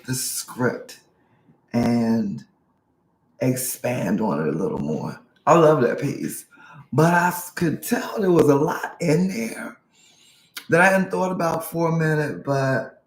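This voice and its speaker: Speaking very slowly with long, frequent pauses, a man uses lively intonation. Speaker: spoken word poet. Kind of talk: casual talk to camera about own poem.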